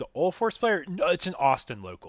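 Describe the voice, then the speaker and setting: Speaking at a fairly quick pace, a man with a medium pitch shows vocal fry. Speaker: streamer and card game commentator. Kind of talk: live commentary. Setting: livestream. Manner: animated.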